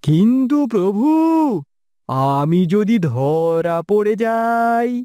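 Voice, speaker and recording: A cartoonish character voice with fairly high pitch and very wide pitch swings comes through on a very clean recording with a silent background. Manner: meek, deferential.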